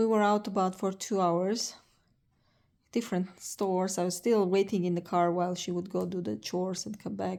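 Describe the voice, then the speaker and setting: A woman's dark, mellow voice with a slight non-native accent and fairly even intonation, on a very clean recording with a silent background. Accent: slight foreign. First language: not English. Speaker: vlogger, cancer patient. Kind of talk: casual vlog. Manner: slow, word-searching; halting.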